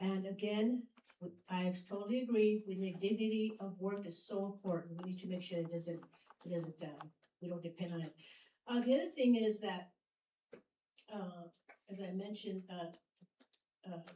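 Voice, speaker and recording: A woman with a non-native accent speaks at a moderate pace and medium pitch, with long, frequent pauses. Her tone is dark, mellow and somewhat breathy, with fairly even intonation. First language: not English. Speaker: city mayor. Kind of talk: public speech. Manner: halting.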